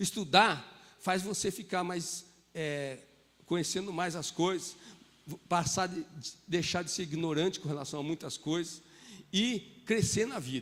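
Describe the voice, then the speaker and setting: On a very clean recording with a silent background, a man speaks fairly slowly at a high pitch with ordinary pitch variation. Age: 60s. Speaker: pastor. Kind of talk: sermon. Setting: church.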